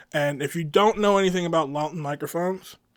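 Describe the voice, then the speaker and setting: The recording is very clean, and the background is silent. A man talks throughout. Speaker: drummer and home studio owner reviewing gear. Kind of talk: casual gear review to camera. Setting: untreated drum room. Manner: casual, many fillers.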